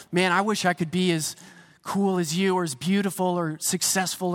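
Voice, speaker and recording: Here a man speaks with a high pitch and fairly even intonation. His pace is moderate. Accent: American. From US, Pennsylvania. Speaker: pastor. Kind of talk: sermon. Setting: church stage with congregation. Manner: casual, conversational preaching.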